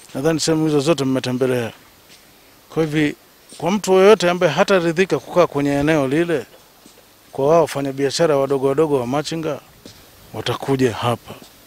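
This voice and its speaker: A man with a plain, everyday voice speaks at a fairly quick pace and a fairly high pitch. His pitch variation is ordinary, and the sound is dry with no echo. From Tanzania. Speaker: city director. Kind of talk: interview. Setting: office. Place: market. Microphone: handheld.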